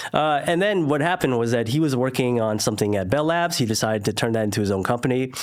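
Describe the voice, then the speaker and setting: With noticeable background noise, a man at medium pitch talks at a very fast pace with lively intonation, very even loudness and hardly any pauses. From Northern California (Silicon Valley). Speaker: entrepreneur, former lawyer. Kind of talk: interview conversation.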